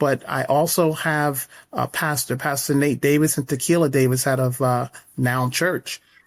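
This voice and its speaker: Recorded very cleanly against a silent background, a man speaks with an American accent at a moderate pace. His fairly high voice stays monotone and flat. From upstate New York. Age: 60s. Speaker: horse stable owner. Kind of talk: interview.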